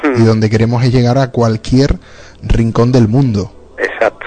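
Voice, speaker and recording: Against noticeable background noise, a man talks at a moderate pace in a medium pitch with monotone, flat intonation. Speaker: radio host. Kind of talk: radio show with interviews.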